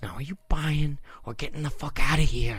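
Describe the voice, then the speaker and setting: A put-on character voice comes through quiet, at a moderate pace. Its loudness swings in big jumps. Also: man, fairly high pitch for a man. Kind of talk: quiet voice. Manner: hushed, impatient.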